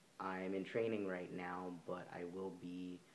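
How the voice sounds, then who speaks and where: In a room with audible echo, a man talks at a fairly slow pace in a very deep, low voice. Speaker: vlogger. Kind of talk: casual vlog monologue. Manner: halting, many fillers.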